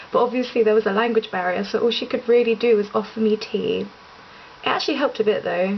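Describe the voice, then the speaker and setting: Against noticeable background noise, a woman speaks at a fairly quick pace with fairly high pitch. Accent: English. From England. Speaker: vlogger. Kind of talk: casual monologue vlog. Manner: fast; animated.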